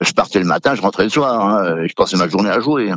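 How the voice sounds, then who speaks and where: Lively in intonation, a man speaks at a fairly quick pace and a fairly low pitch. The sound is dry and close, with no echo. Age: 60s. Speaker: butcher, former gambling addict. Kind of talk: testimony. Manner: hesitant, many fillers.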